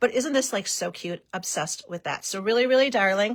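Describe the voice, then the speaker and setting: An enthusiastic woman with a Wisconsin accent speaks at a fairly high pitch with lively intonation. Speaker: paper-crafting demonstration host. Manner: chatty, enthusiastic.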